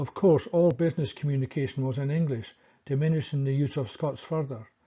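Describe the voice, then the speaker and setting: The somewhat breathy voice, dark and mellow in tone with ordinary pitch variation, moves at a fairly quick pace over a quiet background. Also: man. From Scotland. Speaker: history commentator. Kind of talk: scripted narration.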